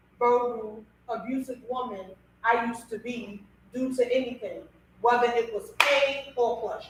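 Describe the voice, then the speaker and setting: A loud woman speaks in a high pitch. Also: moderate pace. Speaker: radio podcast host. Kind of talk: casual talk show discussion. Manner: animated.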